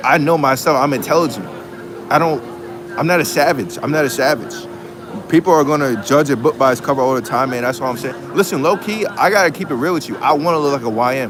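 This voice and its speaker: A man with an American accent talks very fast with lively intonation, against noticeable background noise and audible room echo. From US Northeast (Long Island, New York). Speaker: college student livestreamer. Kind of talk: casual livestream chat. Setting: school dining hall. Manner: repetitive, halting.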